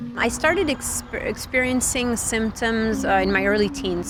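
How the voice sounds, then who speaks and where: A woman speaks at a fairly slow pace in a French accent. Audible room echo and noticeable background noise are present. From Switzerland. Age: 30s. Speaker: tech reporter. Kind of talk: interview testimony. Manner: halting, with frequent fillers.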